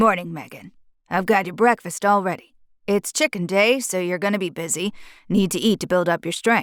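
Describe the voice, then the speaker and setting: A female-sounding, gravelly put-on character voice at medium pitch, moving at a moderate pace. The recording is very clean, with a silent background. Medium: read story.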